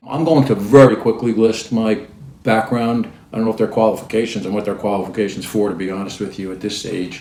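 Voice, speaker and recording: A man's fairly low voice at a very fast pace over noticeable background noise. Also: ordinary pitch variation, big swings in loudness. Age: 60s. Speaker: lawyer and commentator. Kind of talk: opinion commentary. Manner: hesitant, many fillers.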